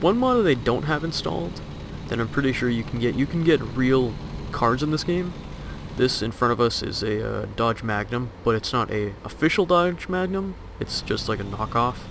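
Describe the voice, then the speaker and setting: A man talks at a moderate pace and medium pitch with lively intonation. Noticeable background noise sits behind him. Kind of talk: casual gameplay commentary. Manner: hesitant, filler-heavy.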